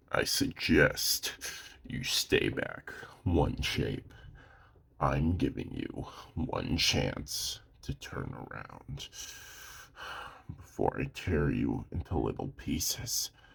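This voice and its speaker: A man's put-on character voice, very slow, broken by long, frequent pauses. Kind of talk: audio roleplay. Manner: threatening, gruff.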